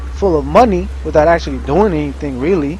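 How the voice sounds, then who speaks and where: A man mumbles amid audible room echo. Noticeable background noise runs underneath. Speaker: gaming streamer. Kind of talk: gameplay commentary rant. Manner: mumbling.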